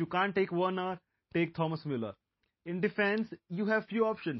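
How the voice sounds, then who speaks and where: A man with an Indian accent speaks at a high pitch. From India, Mumbai. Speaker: football podcast host. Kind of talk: solo podcast monologue.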